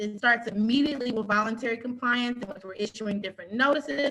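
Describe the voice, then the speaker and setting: A woman speaks with a fairly high pitch and a bright, sharp tone. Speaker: city code enforcement official. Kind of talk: presentation. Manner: fast.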